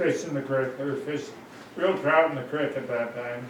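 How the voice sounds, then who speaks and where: A man with a Pacific Northwest accent speaks at a medium pitch and a moderate pace. Noticeable background noise and audible room echo surround him. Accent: Pacific Northwest American. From Washington State, Seattle area. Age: 90s. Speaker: oral history interviewee. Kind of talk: oral history interview. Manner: halting.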